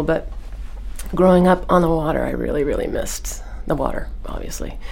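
Noticeable background noise runs through the clip. A woman talks over it at a moderate tempo. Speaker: hypnotherapist, former attorney. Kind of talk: interview. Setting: studio.

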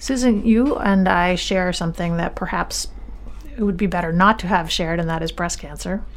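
Speaking at a moderate speed, a woman is heard over noticeable background noise. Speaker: radio host and family physician. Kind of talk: interview. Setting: studio.

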